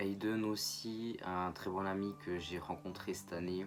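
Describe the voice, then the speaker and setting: A man speaks in a fairly low pitch. His intonation is monotone and flat. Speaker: YouTuber. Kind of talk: vlog monologue. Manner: halting, with frequent fillers.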